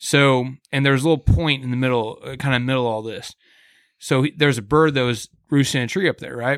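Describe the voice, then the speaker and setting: In a very clean recording with a silent background and a dry, close sound with no echo, a man with an American accent talks at a fairly quick pace and medium pitch, with fairly even intonation, in an ordinary speaking voice. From US Midwest, Kansas City. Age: 30s. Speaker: hunting podcast host. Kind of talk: casual chat. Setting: hunting lodge.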